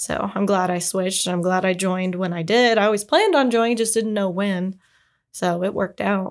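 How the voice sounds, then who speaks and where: In a very clean recording with a silent background, a woman with an American accent talks at a fairly quick pace in an ordinary speaking voice, medium in pitch, her intonation fairly even. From Indiana. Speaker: Air Force Reserve member. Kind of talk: casual interview chat.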